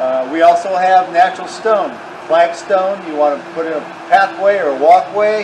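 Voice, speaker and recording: A high-pitched male voice with big swings in loudness over noticeable background noise. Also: ordinary pitch variation, moderate pace. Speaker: landscape supply business owner. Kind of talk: street-seller pitchman patter, product rundown. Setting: outdoors. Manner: brisk, salesy. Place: open country. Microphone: camera far.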